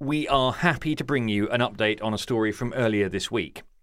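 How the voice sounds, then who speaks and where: A man talks at a moderate pace in a normal speaking voice. His pitch is medium and his intonation lively. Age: 40s. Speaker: podcast host. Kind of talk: scripted narration; casual chat.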